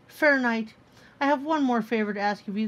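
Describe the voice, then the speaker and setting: In a put-on character voice, a woman talks at a fairly high pitch. The pace is fairly quick. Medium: read story.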